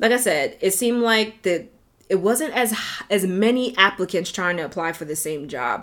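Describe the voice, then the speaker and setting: A woman with a New York accent talks at a moderate pace. Her pitch swings very widely. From New York, South Bronx. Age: 30s. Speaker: podcast host. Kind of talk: solo podcast monologue.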